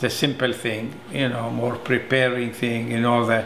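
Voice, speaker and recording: This man talks at a fairly slow pace. Noticeable background noise and audible room echo fill the recording. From Israel. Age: 70s. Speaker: silversmith and aerospace engineer. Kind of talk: interview. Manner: halting, with fillers.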